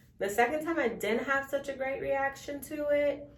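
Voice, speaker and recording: The woman's moderate-paced speech carries audible room echo. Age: 20s. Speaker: beauty vlogger. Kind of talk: casual vlog talk to camera.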